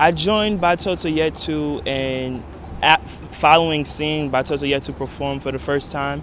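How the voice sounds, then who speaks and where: A man with a New York accent speaks at a fairly high pitch with fairly even intonation. Noticeable background noise runs behind him. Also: moderate pace. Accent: New York American. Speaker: former dancer. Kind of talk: interview testimony.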